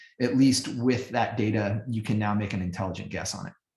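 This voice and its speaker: At a fairly quick pace, a man with a normal speaking voice talks at a fairly low pitch with fairly even intonation. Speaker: business strategy expert presenting a webinar. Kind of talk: webinar Q&A answers.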